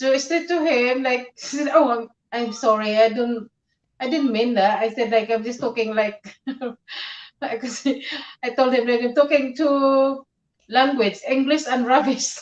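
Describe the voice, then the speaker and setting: Speaking in a Filipino accent, a woman talks at a fairly slow pace with long, frequent pauses, her high-pitched voice keeping a fairly even intonation. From Philippines. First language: Tagalog. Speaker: live streamer. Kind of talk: casual chat. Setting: live stream. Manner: halting.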